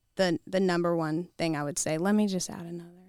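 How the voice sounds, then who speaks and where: On a very clean recording with a silent background, a woman speaks with a fairly low pitch and monotone, flat intonation. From Kentucky. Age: 30s. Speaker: youth ministry director. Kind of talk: casual interview.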